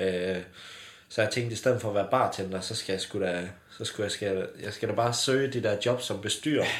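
A fairly low-pitched man's voice, fairly quick and fairly even in intonation, with audible room echo. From southwest Jutland, Denmark (Bramming). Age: 20s. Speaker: company founder. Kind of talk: casual interview. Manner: hesitant, many fillers.

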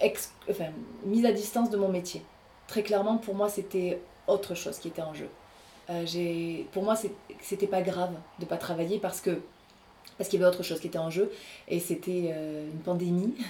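Her tone is dark and mellow as the woman speaks at a moderate pace. She leaves long, frequent pauses. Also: medium pitch for a woman, ordinary pitch variation. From southern France, Aveyron (Rodez). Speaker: actress and voice artist. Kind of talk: interview.

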